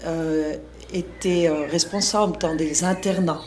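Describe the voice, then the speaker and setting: Against noticeable background noise, a woman with a fairly low pitch talks at a very slow pace. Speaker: school founder and educator. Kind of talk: interview. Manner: halting.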